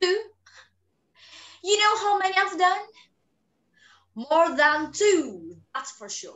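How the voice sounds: A woman does a put-on character voice at an extremely high pitch with big pitch swings. She speaks slowly, and her tone is fairly bright.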